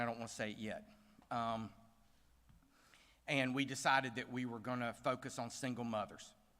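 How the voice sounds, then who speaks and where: A man with a Southern US accent speaks at a fairly quick pace. His tone is bright and sharp. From US South. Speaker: bank CEO, gala speaker. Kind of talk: speech at gala. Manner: casual, hesitant with fillers.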